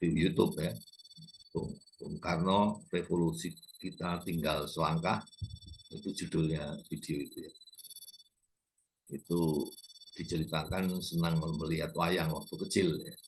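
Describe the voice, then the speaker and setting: At a fairly slow pace with long, frequent pauses, a man speaks in a very deep, low pitch with ordinary pitch variation. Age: 70s. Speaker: YouTube lecturer on culture and politics. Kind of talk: informal lecture. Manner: halting, with fillers.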